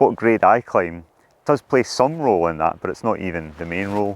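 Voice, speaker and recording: In a Scottish accent, a man with a very deep, low pitch talks at a fairly quick pace with lively intonation. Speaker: professional climber. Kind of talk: monologue to camera.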